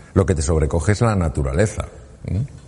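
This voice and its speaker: A man talks in a normal speaking voice. His pace is fairly quick and his intonation lively. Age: 60s. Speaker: surgeon turned speaker. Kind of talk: talk to an audience.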